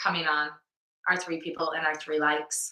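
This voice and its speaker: The pace is moderate. The speaker is a woman. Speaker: CrossFit gym podcast co-host. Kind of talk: casual chat. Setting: live stream video. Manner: loud.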